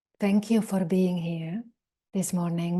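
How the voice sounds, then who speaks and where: A woman speaks at a medium pitch and a fairly slow pace, her tone dark and mellow and her intonation flat and monotone. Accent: Eastern European. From Czechoslovakia (Eastern Europe). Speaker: meditation teacher. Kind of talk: dharma talk.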